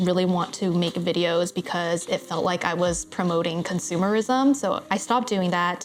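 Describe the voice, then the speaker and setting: Through noticeable background noise, a woman speaks at a moderate pace with ordinary pitch variation. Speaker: online business owner. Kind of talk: casual talk to camera. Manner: uptalk, voice going up.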